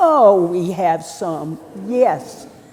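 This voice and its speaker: A woman speaks with a North Carolina accent, her pitch swinging very widely. Noticeable background noise and audible room echo fill the recording. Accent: Southern US (North Carolina). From North Carolina, Hickory. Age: 70s. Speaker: priest. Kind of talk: sermon. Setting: church. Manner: conversational, with hesitations.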